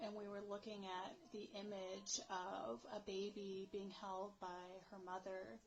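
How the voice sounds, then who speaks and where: Over noticeable background noise, a woman talks at a medium pitch with an American accent. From United States. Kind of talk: casual talk to camera. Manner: unrehearsed, emotional.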